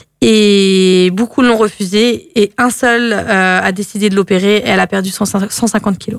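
This woman speaks at a very slow pace. Her pitch is medium, and her intonation is fairly even. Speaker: radio host. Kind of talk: casual radio chat. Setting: radio studio. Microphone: speaks too close to the mic.

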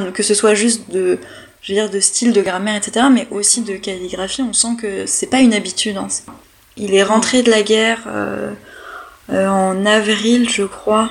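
A woman's fairly high-pitched voice in a flat monotone, fairly slow, with long, frequent pauses and noticeable background noise. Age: 20s. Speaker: history PhD student. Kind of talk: interview.

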